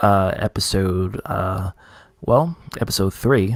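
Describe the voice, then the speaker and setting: Recorded dry and close with no echo, a man speaks at a fairly slow pace and a fairly low pitch. His pitch varies in an ordinary way, and the recording is very clean with a silent background. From New York. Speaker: gaming streamer. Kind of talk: live stream chat.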